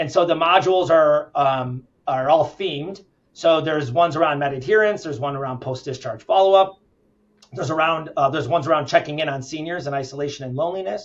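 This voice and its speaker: Very fast speech from a man, pitch varying in an ordinary way. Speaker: healthcare company founder and CEO. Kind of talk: interview.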